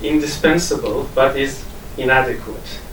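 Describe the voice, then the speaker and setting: In an Iranian Kurdish accent, a man speaks at a fairly high pitch with fairly even intonation. Audible room echo and noticeable background noise are present. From Kurdish region of Iran. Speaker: academic. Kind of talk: academic conference talk. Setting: conference with audience. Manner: hesitant, many fillers.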